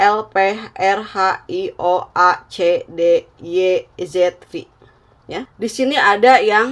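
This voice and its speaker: This is a woman's voice. She speaks at a very slow pace. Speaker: tarot reader. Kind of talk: tarot reading.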